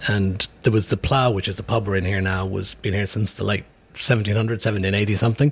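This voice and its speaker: Fairly quick and fairly even in intonation, a man's normal speaking voice sits fairly low in pitch. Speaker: brewery owner. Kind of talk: casual interview. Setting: in a pub.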